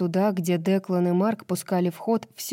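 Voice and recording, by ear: Reading aloud in a natural voice, with intonation fairly even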